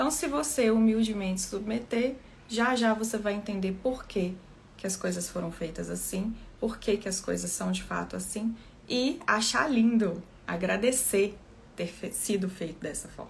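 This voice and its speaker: Someone soft-spoken talks at a fairly slow pace, with audible room echo. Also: woman, medium pitch for a woman, ordinary pitch variation. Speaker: therapist trainer. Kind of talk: live talk.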